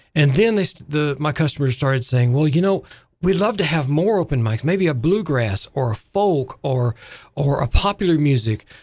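With an Arkansas accent, a man speaks at a fairly high pitch. His pace is moderate and his intonation lively. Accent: Southern US (Arkansas). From US South, Arkansas. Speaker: music shop owner and arts nonprofit president. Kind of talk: radio interview. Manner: halting.

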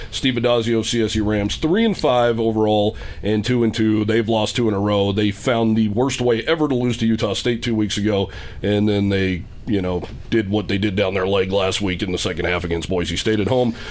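A man speaks at a moderate pace in a fairly low voice, keeping very even loudness and fairly even intonation. Noticeable background noise runs underneath. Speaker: radio host. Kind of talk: live radio sports show. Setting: live from a store, radio broadcast.

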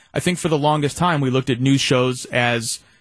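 Fairly quick in pace and fairly even in intonation, an ordinary speaking voice comes through. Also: man. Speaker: assistant program director. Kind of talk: casual studio chat. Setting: radio studio.

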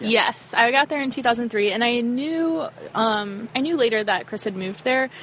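A woman with an American accent speaks at a high pitch and a moderate pace, with ordinary pitch variation. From US South, Arkansas. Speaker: touring musician. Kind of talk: casual chat. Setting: outdoors.

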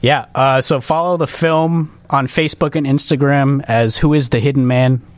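An unremarkable speaking voice at a moderate pace, with very even loudness and hardly any pauses. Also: man, fairly high pitch for a man, fairly even intonation. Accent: American. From Chicago southwest suburbs. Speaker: independent filmmaker. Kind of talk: casual interview.

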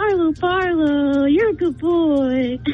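A put-on character voice, pitched high and delivered at a fairly slow pace. Background noise is clearly audible. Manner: soothing.

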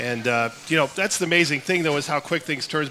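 Noticeable background noise beneath a voice of ordinary pitch movement. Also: man. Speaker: sports reporter and TV broadcaster. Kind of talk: live radio talk show interview. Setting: live at a restaurant with audience.

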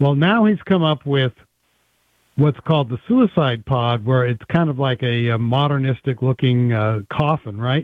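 A man's medium-pitched, an unremarkable speaking voice at a moderate pace, with ordinary pitch variation. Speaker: anti-euthanasia advocate. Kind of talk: radio interview.

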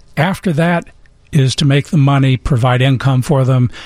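A somewhat breathy, fairly high-pitched man at a moderate pace, with lively intonation and a dry, close sound with no echo. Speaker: financial advisor. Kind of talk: casual radio chat.

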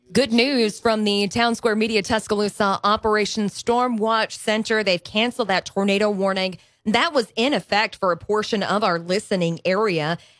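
At a moderate pace and with hardly any pauses, a woman with a plain, everyday voice, fairly high in pitch, speaks with ordinary pitch variation and very even loudness in a very clean recording with a silent background and a dry, close sound with no echo. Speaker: radio news anchor. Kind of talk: news bulletin. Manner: clear and measured.

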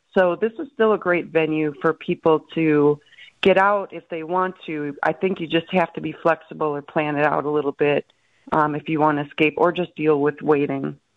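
A woman's very deep, low voice in a Wisconsin accent, with fairly even intonation at a moderate pace. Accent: Upper Midwest (Wisconsin). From Milwaukee, Wisconsin (South side). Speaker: sports writer. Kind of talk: casual chat.

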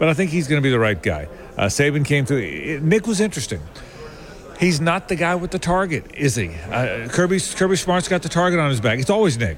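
Over noticeable background noise, a man with a fairly high pitch talks at a fairly quick pace with lively intonation. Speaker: sports media commentator. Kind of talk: radio interview.

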